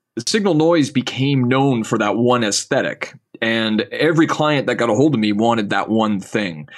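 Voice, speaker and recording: A man talks in a Canadian Maritime accent at a fairly slow pace with lively intonation. The recording is very clean, with a silent background. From Nova Scotia, Canada. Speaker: designer and artist. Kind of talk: casual interview chat.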